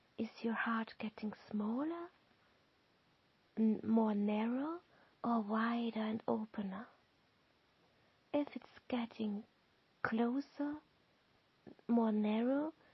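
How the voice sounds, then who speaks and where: Very slow and somewhat breathy, a woman's fairly high voice moves with ordinary pitch variation between long, frequent pauses. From Austria, Lower Austria countryside. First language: German. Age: 40s. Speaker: tarot card reader. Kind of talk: tarot reading and guided visualization. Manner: halting.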